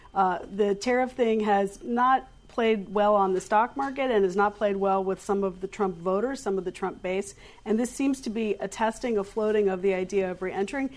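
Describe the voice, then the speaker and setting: A woman talks with a medium pitch and ordinary pitch variation. It is an ordinary speaking voice. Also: moderate pace. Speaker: political journalist panelist. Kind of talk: panel discussion.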